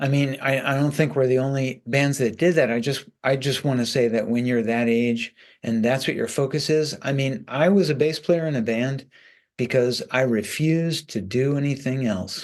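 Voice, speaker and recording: In a plain, everyday voice, a man speaks at a moderate pace and medium pitch with ordinary pitch variation over a quiet background. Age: 60s. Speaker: rock bass player. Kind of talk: interview.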